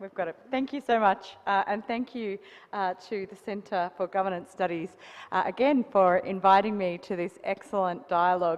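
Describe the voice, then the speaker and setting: Speaking in an Australian accent, a woman keeps a medium pitch and moderate pace, with ordinary pitch variation and big swings in loudness. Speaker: associate professor, panelist. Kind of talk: panel discussion.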